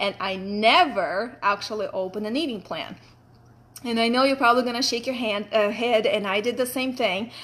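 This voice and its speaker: Her pitch fairly high with ordinary variation, a woman with a Russian accent speaks at a moderate pace. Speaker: fitness coach. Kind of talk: personal story talk. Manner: casual, chatty.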